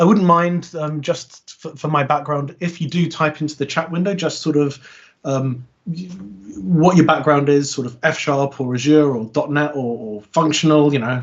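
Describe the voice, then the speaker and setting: A man's fairly high, somewhat breathy voice with a British accent, ordinary pitch variation and a moderate pace. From Britain. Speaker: software consultant and conference speaker. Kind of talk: technical talk. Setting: online meetup video call. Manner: halting, many fillers.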